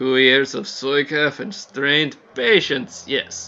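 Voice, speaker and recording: A man puts on a booming character voice at a medium pitch. He speaks fairly slowly, his pitch varying in an ordinary way. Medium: actual play. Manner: booming, mirthful.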